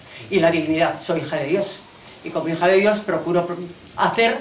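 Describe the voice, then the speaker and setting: Fairly quick, fairly low-pitched female speech with ordinary pitch variation, audible room echo and noticeable background noise. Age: 80s+. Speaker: former instructor, event speaker. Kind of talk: commemorative speech. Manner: halting, many fillers.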